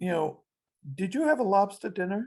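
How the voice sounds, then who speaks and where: A woman talks at medium pitch with lively intonation. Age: 60s. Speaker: interviewee sharing life story. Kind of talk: interview.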